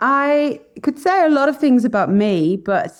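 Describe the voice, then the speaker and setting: A woman speaks at a fairly slow pace with very wide pitch swings against a quiet background. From France. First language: French. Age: 40s. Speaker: podcast guest. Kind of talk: interview. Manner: animated.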